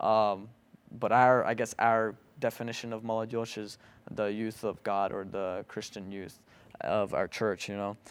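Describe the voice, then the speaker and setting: A man's fairly low-pitched voice at a fairly slow pace, monotone and flat, on a very clean recording with a silent background. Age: 18. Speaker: church youth podcast host and media worker. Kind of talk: casual chat.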